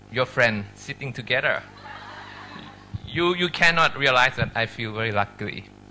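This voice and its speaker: This man has a Thai accent. He speaks at a moderate pace. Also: long, frequent pauses. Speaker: medical professor. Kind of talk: lecture. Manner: halting.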